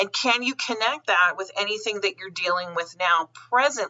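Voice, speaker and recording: A woman at medium pitch, with ordinary pitch variation, has a plain, everyday voice. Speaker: psychic medium. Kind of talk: spiritual forecast monologue.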